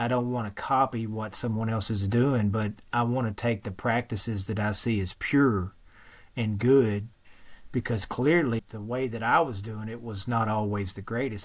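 A man speaks with a strong Western Kentucky accent and fairly even intonation. The recording is very clean, with a silent background. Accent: thick Western Kentucky. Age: 40s. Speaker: former Marine and firefighter, fitness coach. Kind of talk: personal testimony in interview.

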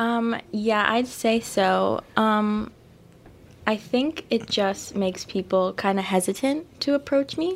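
At a very slow pace, a woman speaks with lively intonation and a fairly high pitch. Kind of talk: interview on live campus radio. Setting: radio studio. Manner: quiet.

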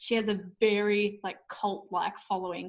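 A woman with an Australian accent sounds somewhat breathy. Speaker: author and school teacher. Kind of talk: casual interview.

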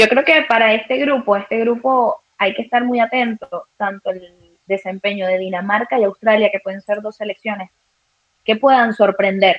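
A woman talks at a fairly slow pace with ordinary pitch variation and a fairly high pitch. It is a normal speaking voice. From Venezuela. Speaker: sports journalist. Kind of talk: live sports talk show.

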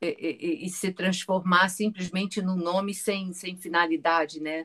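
With monotone, flat intonation, a woman speaks at a medium pitch in a dry, close recording with no echo. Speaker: Pilates teacher. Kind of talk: interview.

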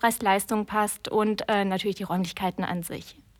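The audio is very clean and the background silent. Her pace is moderate as the woman speaks. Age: 30s. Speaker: wedding planner. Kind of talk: interview.

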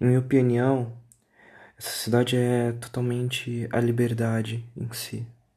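A man speaks fairly slowly in a dark, mellow tone with monotone, flat intonation and big swings in loudness. Audible room echo surrounds the voice. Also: medium pitch for a man. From Brazil, São Paulo city. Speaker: podcaster. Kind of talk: casual monologue.

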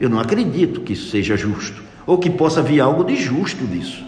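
A man talks at a moderate pace with very wide pitch swings, over noticeable background noise and audible room echo. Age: 60s. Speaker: physician and conservative party politician. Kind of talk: radio interview.

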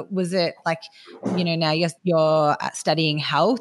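A woman's very deep, low voice with an Australian accent. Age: 30s. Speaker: podcast host and personal trainer. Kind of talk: interview.

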